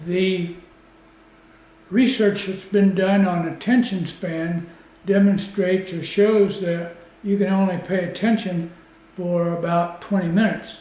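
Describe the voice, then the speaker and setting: With audible room echo, a man speaks in a high pitch with monotone, flat intonation and long, frequent pauses. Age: 70s. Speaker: retiree teaching technology basics. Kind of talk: tutorial.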